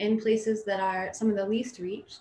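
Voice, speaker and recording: Speech unfolds at a moderate pace. There is some breathiness to the voice. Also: woman. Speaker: missionary. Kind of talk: interview.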